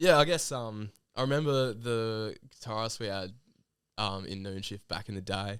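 A man with an Australian accent is speaking at a moderate speed. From Western Sydney, Australia. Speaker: band musician. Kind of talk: casual chat.

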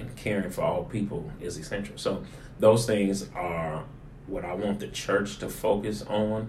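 This man has a plain, everyday voice pitched fairly low. His pitch varies in an ordinary way. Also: fairly slow pace. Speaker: pastor. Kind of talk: sermon-style teaching in conversation.

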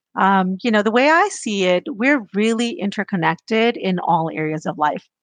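Over a quiet background, a woman with a normal speaking voice talks at a moderate pace and medium pitch. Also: dry, close sound with no echo. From US, child of immigrants. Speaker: business development executive. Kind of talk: interview.

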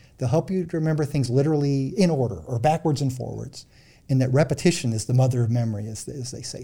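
Speaking with a Midwestern US accent, a man uses a fairly high pitch, lively intonation, and a fairly quick pace. His dark, mellow tone is somewhat breathy, and the recording is very clean with a silent background. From central Illinois. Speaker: psychologist and author. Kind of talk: interview. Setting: studio.

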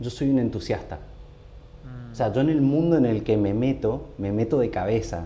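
Talking at a moderate pace, a man with a medium pitch uses lively intonation, and there is audible room echo. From Argentina, San Rafael, Mendoza. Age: 30s. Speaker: designer and cycling community founder. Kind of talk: casual interview chat.

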